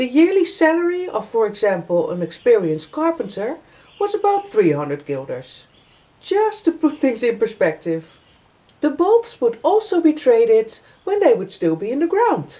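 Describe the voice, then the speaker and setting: The speaker keeps a moderate pace while the pitch makes very wide swings. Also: woman, high pitch for a woman. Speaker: vlogger. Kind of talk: informative vlog talk. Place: home room. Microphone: camera far.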